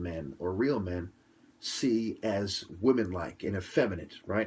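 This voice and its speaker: On a very clean recording with a silent background, a man speaks at a fairly slow pace. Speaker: commentator. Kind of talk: interview. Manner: soft-spoken.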